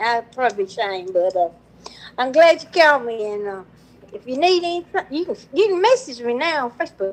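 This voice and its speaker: A woman with an American accent talks at a fairly quick pace in a high voice. Her pitch swings very widely and her loudness rises and falls sharply. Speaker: caller. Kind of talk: casual chat.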